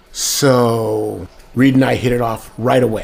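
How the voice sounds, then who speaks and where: Over noticeable background noise, a man with an American accent speaks at a medium pitch. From San Diego, California. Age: 50s. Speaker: former police officer. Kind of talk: interview recollection.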